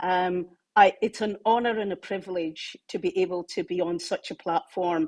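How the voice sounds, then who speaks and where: A woman's medium-pitched voice in a Glaswegian accent, at a moderate pace with ordinary pitch variation, in a dry, close sound with no echo on a very clean recording with a silent background. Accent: Glaswegian Scottish. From Scotland, Glasgow. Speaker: technology executive. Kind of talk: talk.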